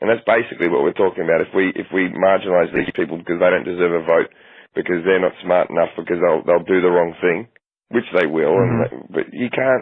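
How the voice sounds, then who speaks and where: Very fast speech from a man with an Australian accent. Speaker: comedian. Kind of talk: podcast interview answer. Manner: casual, profane.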